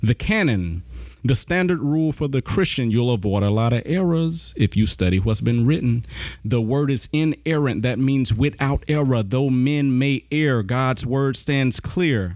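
Lively intonation marks this man's speech in a Southern US accent. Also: medium pitch for a man, fairly slow pace, very even loudness. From US South, south Alabama. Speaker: pastor and apologetics teacher. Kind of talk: casual chat.

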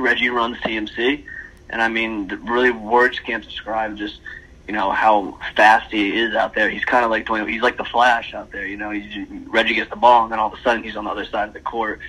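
This man's medium-pitched voice stays monotone and flat. He talks at a moderate pace. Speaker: basketball podcast co-host. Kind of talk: casual sports podcast discussion.

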